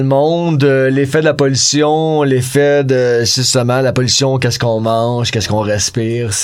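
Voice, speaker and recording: Over noticeable background noise, a man talks at a moderate pace in a medium pitch with ordinary pitch variation. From Quebec, North Shore of Montreal. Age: 40s. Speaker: punk rock musician. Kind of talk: casual chat.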